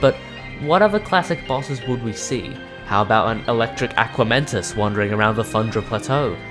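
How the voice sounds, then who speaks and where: Over music in the background, the speech runs at a fairly quick pace with ordinary pitch variation. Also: man. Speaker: gaming video creator. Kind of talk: scripted video essay narration. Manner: excited.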